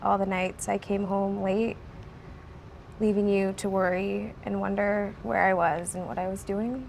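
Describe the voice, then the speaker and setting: Soft-spoken and fairly slow, a woman talks at a medium pitch with fairly even intonation. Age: young. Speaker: recovering drug addict. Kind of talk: reading an apology letter.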